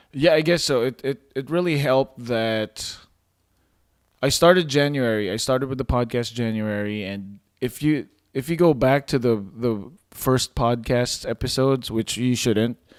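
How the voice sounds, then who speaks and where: On a very clean recording with a silent background, a man speaks at a medium pitch with a non-native accent. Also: ordinary pitch variation, moderate pace. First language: not English. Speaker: podcast host. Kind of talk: interview.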